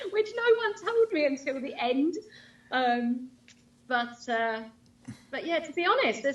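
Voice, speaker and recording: In an English accent, a woman with a high voice makes very wide pitch swings and leaves long, frequent pauses. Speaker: line dance instructor and DJ. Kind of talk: casual interview chat. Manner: fast.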